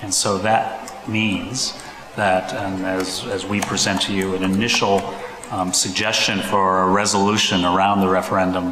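Monotone, flat intonation at a moderate pace, with noticeable background noise. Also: man, very deep, low pitch for a man. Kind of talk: formal presentation to a board. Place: meeting room. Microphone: podium.

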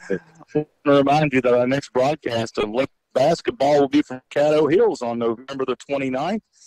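The man's fairly high voice comes through dry and close, with no echo. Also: ordinary pitch variation, fairly quick pace. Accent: Arkansas. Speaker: radio sports announcer. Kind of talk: post-game radio broadcast.

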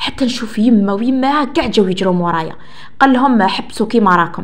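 Noticeable background noise and audible room echo accompany speech with lively intonation. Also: woman. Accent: Algerian. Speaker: storytelling channel host. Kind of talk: first-person story reading.

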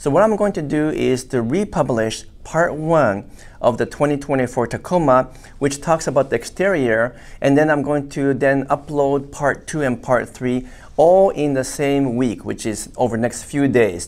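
A man speaks at a fairly slow pace. His pitch varies in an ordinary way. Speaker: automotive engineer commentator. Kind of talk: commentary. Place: studio.

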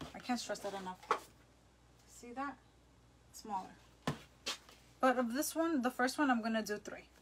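A woman with an American accent talks at a high pitch and moderate pace, with long, frequent pauses and big swings in loudness. Noticeable background noise runs underneath. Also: ordinary pitch variation. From New Jersey, Jersey Shore; New Jersey. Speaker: craft instructor. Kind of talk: live-stream craft tutorial. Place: home room. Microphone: phone near.

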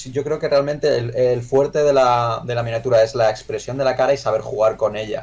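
A man talks at a fairly quick pace with hardly any pauses and fairly even intonation. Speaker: miniature painter; miniature painting streamer. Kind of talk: livestream review chat. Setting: live stream. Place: home room. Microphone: headset.

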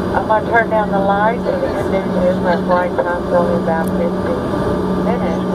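The speech moves at a moderate pace. Loud background noise runs underneath. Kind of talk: cabin safety announcement. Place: plane.

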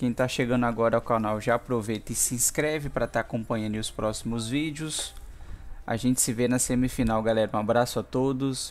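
Here a man speaks with a Brazilian accent. His pitch is medium and his pace fairly quick. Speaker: gaming YouTuber. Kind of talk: gameplay commentary. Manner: animated.

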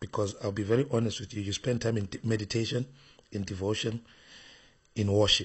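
Somewhat breathy and fairly low in pitch, a man talks at a fairly quick pace with fairly even intonation and long, frequent pauses. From Zimbabwe. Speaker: bishop and preacher. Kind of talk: interview.

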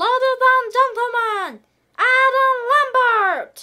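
At a very slow pace, a cartoonish character voice speaks with an extremely high pitch. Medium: puppet. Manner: upbeat.

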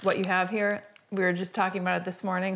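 Female speech over a quiet background. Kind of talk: casual vlog chat. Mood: cheerful, laughing. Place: home room.

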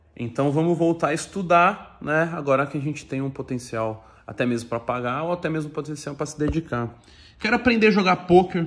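Here a man talks at a fairly quick pace. His tone is animated and his intonation lively. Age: 30s. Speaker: YouTuber, fitness influencer. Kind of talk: casual vlog monologue. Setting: at home. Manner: animated, slangy. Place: home room. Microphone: phone near.

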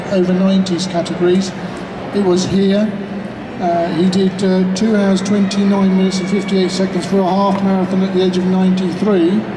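Over noticeable background noise, a man talks at a fairly quick pace. His high pitch stays in a monotone, flat intonation. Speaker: spokesperson for an elderly runner. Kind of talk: press conference answers. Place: hall.

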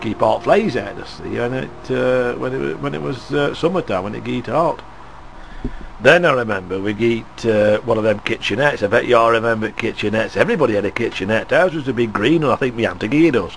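A man with a West Lancashire accent talks at a fairly quick pace, his pitch medium. His intonation is lively, and there is light background noise. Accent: broad West Lancashire dialect. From Skelmersdale, West Lancashire. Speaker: local resident reminiscing. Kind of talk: reminiscence, oral history. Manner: conversational, hesitant. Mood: warm, nostalgic.

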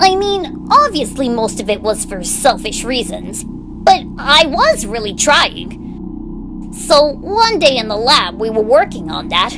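A female-sounding voice puts on a character voice at a high pitch, with hardly any pauses. Loud background noise fills the clip. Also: fairly slow pace. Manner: sarcastic, brooding storytelling.

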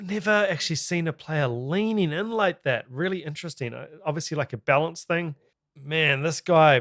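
A man with a New Zealand accent and an enthusiastic tone, ordinary pitch variation, quiet background. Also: moderate pace. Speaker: YouTube reaction video host. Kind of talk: reaction commentary. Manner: enthusiastic, casual. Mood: impressed, curious. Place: home room. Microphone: studio mic.

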